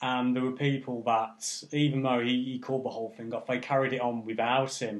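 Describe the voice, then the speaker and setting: A man speaks at a medium pitch in an English accent. His intonation is flat and monotone, with hardly any pauses. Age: 30s. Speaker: music event promoter. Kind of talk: casual chat.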